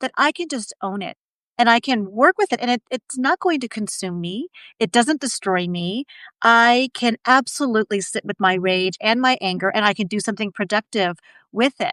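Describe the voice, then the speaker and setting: A woman's bright, sharp tone and lively intonation in a very clean recording with a silent background and a dry, close sound with no echo. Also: fairly high pitch for a woman, moderate pace. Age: 50s. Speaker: podcast co-host. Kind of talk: podcast conversation.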